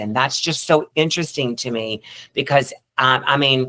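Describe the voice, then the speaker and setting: A woman talks with a Southern US accent at a very deep, low pitch. Her tone is bright and sharp, and her intonation fairly even. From US South. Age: 50s. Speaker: actress. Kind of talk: panel discussion.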